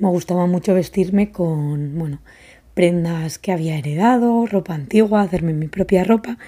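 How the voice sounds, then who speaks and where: Speaking at a fairly slow pace, a woman has a dark, mellow tone and a fairly low pitch with ordinary variation. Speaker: podcast host and fashion brand founder. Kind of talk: casual solo podcast monologue.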